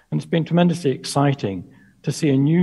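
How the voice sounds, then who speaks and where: Over a quiet background, a man speaks at a moderate pace with ordinary pitch variation. His voice is somewhat breathy, with a dark, mellow tone. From UK. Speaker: presenter. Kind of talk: lecture. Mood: reflective, self-deprecating. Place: home room. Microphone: headset.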